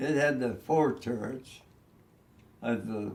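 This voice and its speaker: Vocal fry in a man's mid-range voice, its pitch moving in an ordinary way. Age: 80s+. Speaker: war veteran; navy veteran. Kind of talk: interview answer.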